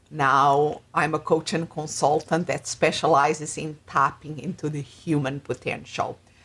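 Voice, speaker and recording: A woman with a Portuguese accent speaks in a very deep, low pitch at a fairly slow pace. Her intonation is monotone and flat, with hardly any pauses. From Portugal. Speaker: life and business coach. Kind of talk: interview. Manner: halting.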